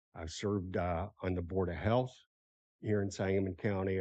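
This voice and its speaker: A man's very deep, low voice with a dark, mellow tone, fairly even intonation and a fairly quick pace, against a quiet background. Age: 70s. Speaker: retired commission member. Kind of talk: self-introduction at public meeting.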